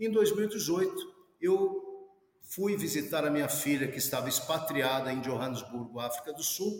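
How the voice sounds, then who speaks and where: A man with a normal speaking voice, fairly high in pitch, at a fairly slow pace. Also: lively intonation. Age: 50s. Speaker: professor and security specialist. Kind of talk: interview.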